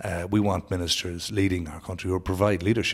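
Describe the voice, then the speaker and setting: A man with a Sligo Irish accent speaks at a fairly quick pace in a very deep, low voice that is somewhat breathy and flat, monotone in intonation. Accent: Irish (north-west, Sligo). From Ireland, Sligo. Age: 40s. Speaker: politician. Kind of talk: interview.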